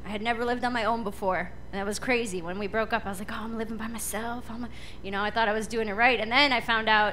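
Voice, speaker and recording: A woman at a fairly quick pace, fairly even intonation, light background noise. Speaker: stand-up comedian. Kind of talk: stand-up comedy routine. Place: stage. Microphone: handheld.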